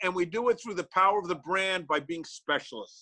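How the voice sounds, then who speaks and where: A man talks at a fairly quick pace in a raised, projected voice, his tone animated, bright and sharp. The sound is dry and close, with no echo. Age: 60s. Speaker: practice coach for chiropractors. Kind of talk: motivational webinar talk.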